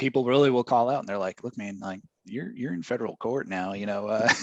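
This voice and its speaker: Fairly low in pitch, a man speaks in a Southern US accent with ordinary pitch variation. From Maine, from a Southern household. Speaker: webinar host. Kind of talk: casual chat.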